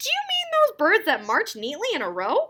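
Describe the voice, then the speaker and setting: In a loud, squeaky, put-on character voice, a woman speaks at a moderate pace with an extremely high pitch. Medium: read story. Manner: loud, hearty.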